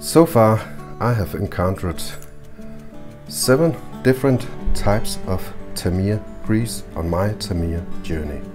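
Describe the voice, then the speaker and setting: Speech moves at a fairly slow pace with long, frequent pauses and very wide pitch swings. Music plays in the background. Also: man, fairly low pitch for a man. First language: not English. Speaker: RC model hobbyist. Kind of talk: casual build tutorial talk.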